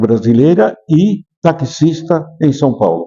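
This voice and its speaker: His pitch rises and falls across a very wide range. The man's voice has a dark, mellow tone. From Brazil, Bahia. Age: 80s+. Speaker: retired singer and former taxi driver. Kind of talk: interview testimony.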